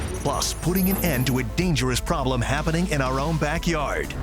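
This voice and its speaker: Music plays in the background as a man talks. His pace is fairly quick and his loudness very even. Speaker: voice over talent. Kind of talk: local TV news promo voice-over. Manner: urgent, punchy.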